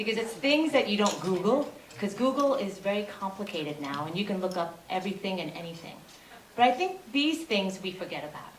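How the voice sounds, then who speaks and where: Amid noticeable background noise and audible room echo, a woman speaks at a very fast pace with lively intonation and big swings in loudness. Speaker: cardiologist. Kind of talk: conference talk. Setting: stage with audience.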